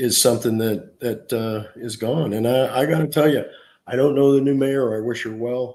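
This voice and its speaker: With an American accent, a man speaks at medium pitch with ordinary pitch variation and a dark, mellow tone. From US West Coast, Oakland, California. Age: 60s. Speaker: former union leader and cannabis activist. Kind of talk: interview.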